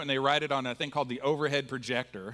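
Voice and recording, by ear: A man with a fairly bright tone. His pitch sits fairly high.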